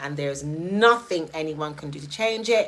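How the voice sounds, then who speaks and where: A woman speaks with a strong British accent at a fairly slow pace. Her pitch is fairly low, with ordinary pitch variation. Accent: strongly British. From Jamaica. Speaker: live streamer. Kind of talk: live stream talk. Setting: live stream.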